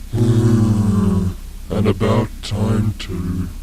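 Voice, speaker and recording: A man performs a put-on character voice at a fairly low pitch. Loud background noise runs under the recording. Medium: audio drama. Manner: grumbling, reluctant.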